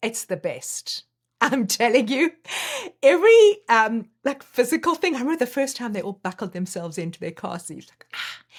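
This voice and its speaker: A woman with a high pitch talks at a moderate pace in an animated tone. Her pitch swings very widely and her loudness swings a lot. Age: 60s. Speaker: life coach. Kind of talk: casual chat.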